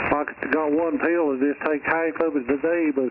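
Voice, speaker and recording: Noticeable background noise sits behind a man speaking at a moderate pace. His voice is fairly high with fairly even intonation. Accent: Southern US. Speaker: ham radio operator. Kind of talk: casual chat. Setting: radio.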